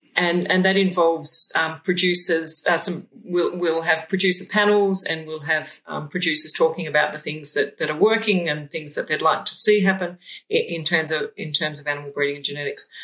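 A fairly low-pitched woman in an Australian accent, at a moderate pace with hardly any pauses and fairly even intonation. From Moree, New South Wales, Australia. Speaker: sheep geneticist and researcher. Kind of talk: casual interview. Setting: shearing shed.

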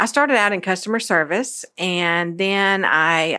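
Her tone bright and sharp, a woman with a Memphis accent speaks at a fairly low pitch in a very clean recording with a silent background. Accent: US Southern (Memphis). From Memphis, Tennessee. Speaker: church women's ministry director. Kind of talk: interview.

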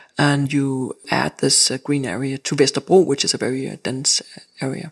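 A woman with a Danish accent, at a moderate pace. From Denmark. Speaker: architect. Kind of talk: interview. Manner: halting.

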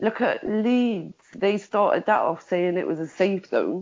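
A woman with a Liverpool accent and ordinary pitch variation. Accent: Scouse. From Liverpool, England. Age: 40s. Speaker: survivor of prostitution, campaigner. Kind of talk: interview testimony.

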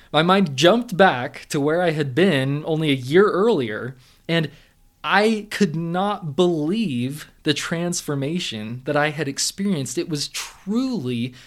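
With a Californian accent, a man talks at a fairly slow pace in a fairly high pitch and lively intonation, on a very clean recording with a silent background. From Southern California. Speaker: mental performance coach. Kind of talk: monologue podcast storytelling.

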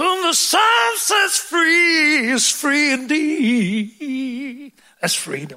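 A raised, projected voice with lively intonation moves at a very slow pace amid audible room echo. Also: man, extremely high pitch for a man. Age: old. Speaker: preacher. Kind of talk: sermon. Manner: animated.

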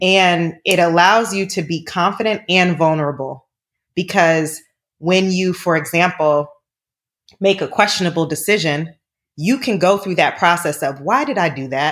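On a very clean recording with a silent background, a woman talks in an ordinary speaking voice at a moderate pace. Her pitch is fairly low, with ordinary variation. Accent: American. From Boston, US. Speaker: TV producer. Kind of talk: casual chat.

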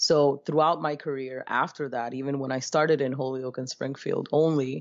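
This woman has a very deep, low voice and talks at a moderate pace with fairly even intonation. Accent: American. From Brooklyn, New York (born Dominican Republic). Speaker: educator and life coach. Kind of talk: interview.

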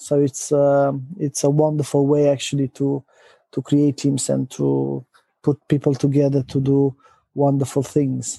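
A man with a Romanian accent speaks at a fairly slow pace in a fairly high-pitched voice with a dark, mellow tone, his loudness very even and his intonation monotone and flat. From Romania, Transylvania. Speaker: company executive. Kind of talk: interview. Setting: remote call. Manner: hesitant, many fillers.

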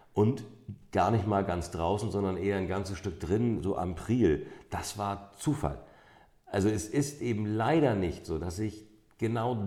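Audible room echo surrounds a man's fairly low voice. His tone is dark and mellow, and he speaks at a fairly slow pace. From northern Germany, St. Peter-Ording (North Sea coast). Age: 50s. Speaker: amber expert and shop owner. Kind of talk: interview. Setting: in a shop.

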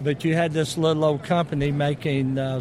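Speaking with an American accent, a man with a fairly high pitch keeps a moderate pace and fairly even intonation over noticeable background noise. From US South. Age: 60s. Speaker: motorcycle company representative. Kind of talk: booth interview. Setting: expo booth.

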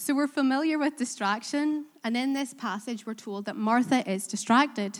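On a very clean recording with a silent background, a woman talks at a moderate pace in a high, warm voice with ordinary pitch variation. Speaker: preacher. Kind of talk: sermon. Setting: church. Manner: warm, hesitant with many fillers.

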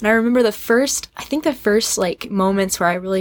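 A woman talks at a fairly quick pace in a normal speaking voice, at a medium pitch with ordinary pitch variation. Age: 20s. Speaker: podcast guest, singer. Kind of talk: casual chat.

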